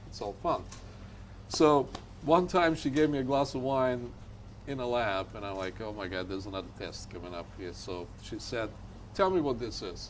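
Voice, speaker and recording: A man speaks with long, frequent pauses, big swings in loudness and very wide pitch swings, with audible room echo. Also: medium pitch for a man, moderate pace. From Bulgaria. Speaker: winemaker. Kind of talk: casual chat.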